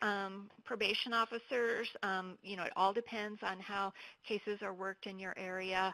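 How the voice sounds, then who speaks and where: At a fairly slow pace, a woman speaks in a bright, sharp tone at medium pitch with monotone, flat intonation. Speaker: counselor presenting to probation officers. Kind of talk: webinar presentation. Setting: online webinar. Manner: hesitant, many fillers.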